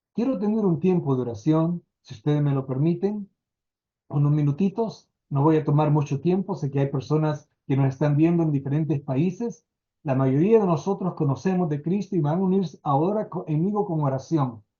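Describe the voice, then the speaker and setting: A normal speaking voice from a man at a fairly high pitch, with ordinary pitch variation and a moderate pace. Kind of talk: sermon-style lecture.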